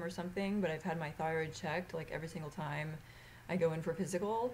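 Over light background noise, a woman with a fairly low, somewhat breathy voice speaks with ordinary pitch variation. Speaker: vlogger. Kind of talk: casual chat. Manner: halting. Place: home room. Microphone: webcam.

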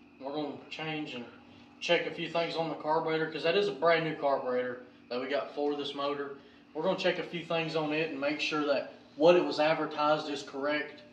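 Light background noise and audible room echo surround a man talking very fast with fairly even intonation. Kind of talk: casual vlog chat. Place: garage. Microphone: camera far.

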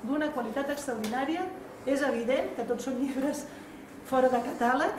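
Against noticeable background noise, a woman speaks in a high voice. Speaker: university vice-rector. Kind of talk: formal speech at event. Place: hall. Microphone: camera far.

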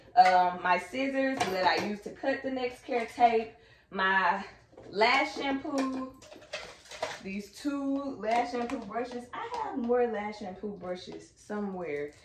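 The voice moves at a very slow pace with lively intonation and big swings in loudness. Noticeable background noise sits underneath. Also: woman, fairly high pitch for a woman. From Texas. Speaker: lash artist and vlogger; vlogger. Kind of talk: vlog. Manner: animated. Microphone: camera far.

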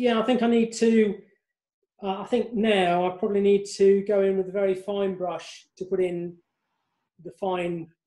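A man with a high pitch and a dark, mellow tone speaks at a moderate pace with fairly even intonation. Audible room echo sits over a quiet background. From West Midlands, England. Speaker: class participant; art tutor. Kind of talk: casual chat. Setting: video call. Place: home room. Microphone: video call.

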